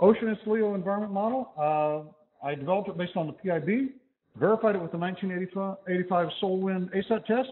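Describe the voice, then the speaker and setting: A man speaks loudly with a high pitch. His pitch varies in an ordinary way at a moderate pace. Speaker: physics professor. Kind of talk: lecture.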